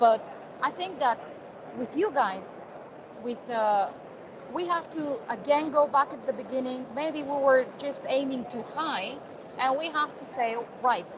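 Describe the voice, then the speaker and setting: A woman's high-pitched voice at a fairly slow pace, with ordinary pitch variation, big swings in loudness, long, frequent pauses and noticeable background noise. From Bulgaria. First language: Bulgarian. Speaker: edtech company staff. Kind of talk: online meeting talk.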